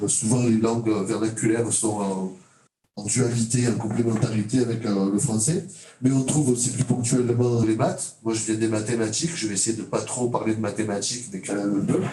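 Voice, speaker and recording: In a room with audible echo and noticeable background noise, a man speaks at a medium pitch and moderate pace with ordinary pitch variation. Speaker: teacher educator, mathematics. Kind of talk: conference talk. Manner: halting, many hesitations.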